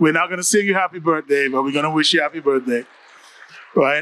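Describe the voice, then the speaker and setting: A very fast voice with a bright, sharp tone and a Caribbean accent, dry and close with no echo. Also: man. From Caribbean, Antigua. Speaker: mayor / elected official. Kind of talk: panel talk at a town hall.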